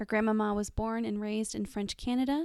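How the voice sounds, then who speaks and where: A woman speaks in a plain, everyday voice at a fairly high pitch and fairly quick pace, with fairly even intonation. The recording is very clean, with a silent background. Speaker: podcast co-host. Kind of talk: scripted narration.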